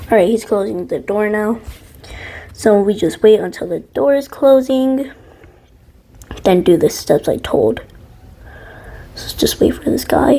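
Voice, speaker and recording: A woman's fairly high voice, fairly slow, with lively intonation, long and frequent pauses, and noticeable background noise. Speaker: game video creator. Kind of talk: casual game tutorial talk.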